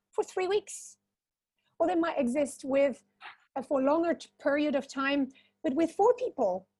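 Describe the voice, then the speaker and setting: A woman with a high pitch and a dark, mellow tone speaks at a fairly slow pace, recorded in a dry, close sound with no echo. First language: non-English. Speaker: community founder for social entrepreneurs. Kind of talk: panel discussion. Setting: online webinar. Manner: halting.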